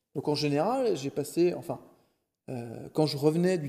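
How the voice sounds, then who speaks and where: This man has a fairly high pitch and a dark, mellow tone. His pitch varies in an ordinary way. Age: 40s. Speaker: real estate investor. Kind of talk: interview. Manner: animated.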